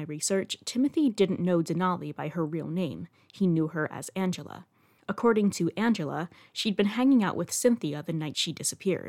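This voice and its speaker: A woman with an ordinary speaking voice, fairly low pitch and lively intonation at a fairly quick pace, in a dry, close sound with no echo and a very clean recording with a silent background. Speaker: podcast host and true-crime narrator. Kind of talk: true-crime narration, scripted storytelling. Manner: measured, serious storyteller pace with dry, wry asides; clear and even, sombre on violent details.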